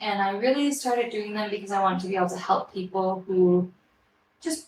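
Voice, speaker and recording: A woman with an American accent, a normal speaking voice, medium pitch, fairly quick pace and ordinary pitch variation. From Switzerland, French-speaking Neuchâtel area, then Colorado from age 14. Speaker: hairdresser and salon owner. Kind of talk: interview.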